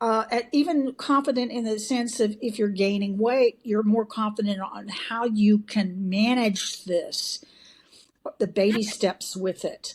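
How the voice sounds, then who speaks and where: With a Texan accent, a woman speaks fairly slowly in a fairly high, somewhat breathy voice with fairly even intonation. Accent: Texan, kept after decades away. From Texas. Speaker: bariatric surgery patient, community member. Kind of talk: interview testimony.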